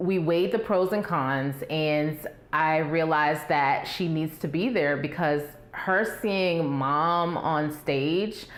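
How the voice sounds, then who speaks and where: Fairly low pitch from a woman, ordinary pitch variation, audible room echo and noticeable background noise. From Baltimore, Maryland. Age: 30s. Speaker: debate contestant. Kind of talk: interview.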